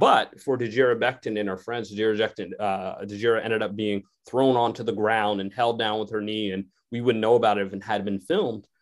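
At a fairly quick pace, a man speaks in a fairly low, monotone voice with flat intonation. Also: very clean recording, silent background. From Connecticut. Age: 40s. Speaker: sociology professor. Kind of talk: radio interview.

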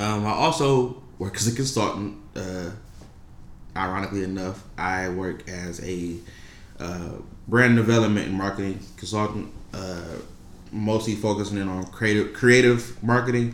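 Audible room echo surrounds a man talking at a moderate pace. His fairly low pitch has ordinary variation. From Detroit, Michigan. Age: 20s. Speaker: clothing brand founder. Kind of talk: casual interview.

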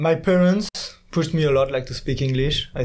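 A man with a French accent talks at a fairly quick pace with ordinary pitch variation. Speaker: exchange student in engineering. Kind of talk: casual interview.

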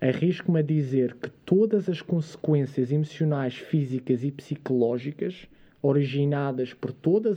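A man talks in a somewhat breathy, fairly high voice with ordinary pitch variation. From Madeira, Portugal. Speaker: fitness and science content creator. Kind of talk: casual interview. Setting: studio.

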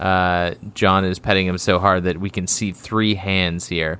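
A fairly slow man's voice, very deep and low in pitch. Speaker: podcast co-host. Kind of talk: casual chat. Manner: quiet tonight.

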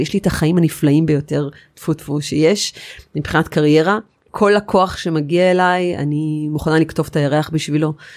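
Moderate pace on a very clean recording with a silent background. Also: woman. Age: 40s. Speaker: architect. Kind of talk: interview. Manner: animated.

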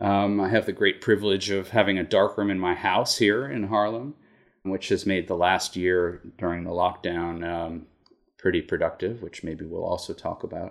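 A plain, everyday voice with an American accent keeps a moderate pace and fairly even intonation. The recording is very clean, with a silent background. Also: man, fairly low pitch for a man. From Massachusetts, near Boston. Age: 50. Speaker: photographer. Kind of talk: interview.

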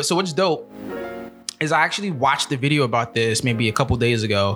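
A man with an American accent and medium pitch speaks at a fairly quick pace with lively intonation and very even loudness. Music plays in the background. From New York City, has lived in New Jersey. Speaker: podcast host.

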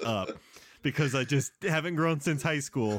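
A man with a plain, everyday voice talks in a fairly high pitch with lively intonation. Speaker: comedy podcast host. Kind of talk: casual comedy banter.

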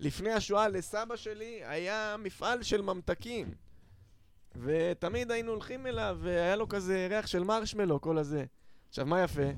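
Captured in a very clean recording with a silent background, the voice moves at a fairly slow pace with ordinary pitch variation. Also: man, high pitch for a man. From Israel, Holon. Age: 20s. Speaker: stand-up comedian. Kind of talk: casual chat.

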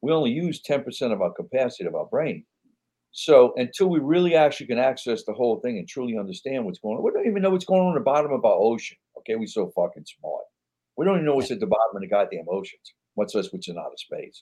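A man with a New York accent at a very fast pace. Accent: New York-sounding. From New Orleans, Louisiana. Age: old. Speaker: actor. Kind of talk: casual chat.

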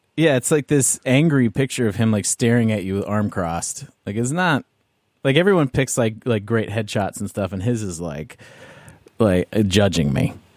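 Recorded very cleanly with a silent background and a dry, close sound with no echo, a man with an ordinary speaking voice and medium pitch talks at a moderate pace with lively intonation. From Canada. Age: 30s. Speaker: podcast host. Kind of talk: casual chat.

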